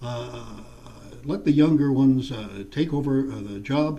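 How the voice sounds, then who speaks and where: A man with a dark, mellow, somewhat breathy voice speaks at a medium pitch and a moderate pace with lively intonation, and room echo is audible. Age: 70s. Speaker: politician. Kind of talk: interview. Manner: halting, many fillers.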